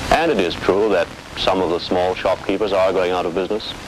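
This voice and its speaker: Fairly quick speech from a man, heard through noticeable background noise. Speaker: business association representative. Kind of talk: documentary interview.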